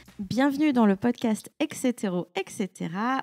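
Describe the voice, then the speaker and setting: A woman talks at a very slow pace in a high voice with lively intonation. The recording is very clean, with a silent background and a dry, close sound with no echo. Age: 30s. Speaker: podcast host. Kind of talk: scripted intro then interview.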